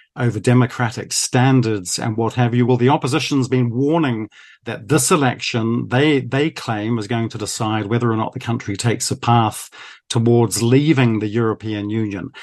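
With a New Zealand accent, a man speaks at a medium pitch and a moderate pace. His intonation is fairly even, and the background is quiet. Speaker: foreign correspondent. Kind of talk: news interview.

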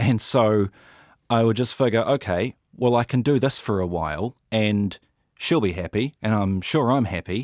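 On a very clean recording with a silent background, a man speaks at very even loudness with ordinary pitch variation. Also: medium pitch for a man, moderate pace, dry, close sound with no echo. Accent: New Zealand. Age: 30s. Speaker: interviewee sharing personal experience. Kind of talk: personal testimony.

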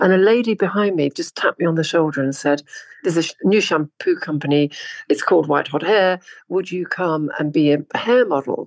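Over a quiet background, a woman with a plain, everyday voice and fairly low pitch speaks at a moderate pace with lively intonation, the sound dry and close with no echo. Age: 60s. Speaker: model. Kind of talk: interview.

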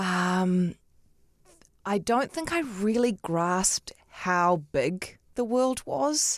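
Very slow, lively speech from a woman with a New Zealand accent. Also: medium pitch for a woman. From New Zealand, Auckland (Otahuhu). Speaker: television journalist and breakfast show host. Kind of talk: casual interview chat. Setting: studio.

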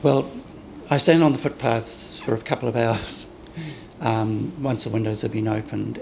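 Against noticeable background noise, a man speaks at a medium pitch and moderate pace. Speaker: window display designer. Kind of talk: interview.

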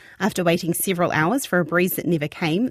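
Fairly quick and lively in intonation, a woman with a New Zealand accent speaks at a medium pitch in a very clean recording with a silent background and a dry, close sound with no echo.

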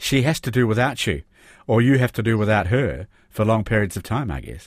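A man speaks at medium pitch and a moderate pace, with ordinary pitch variation and vocal fry. The recording is very clean, with a silent background. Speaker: radio host. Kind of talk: radio interview.

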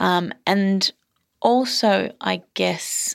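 The recording is very clean and the background silent. It features a woman with an Australian accent. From Australia, Melbourne and country Queensland. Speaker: novelist. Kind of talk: interview. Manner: halting, many fillers.

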